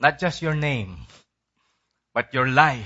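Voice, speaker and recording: Intonation is lively as the man talks. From Philippines, San Fernando, La Union. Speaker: pastor. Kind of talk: sermon.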